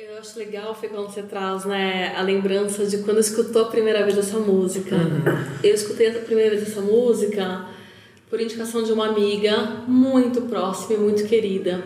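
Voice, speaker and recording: A woman's fairly high, flat monotone at a moderate pace, with big swings in loudness, audible room echo and noticeable background noise. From Bahia, raised in São Paulo, Brazil. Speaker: impact investment manager. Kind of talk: casual chat.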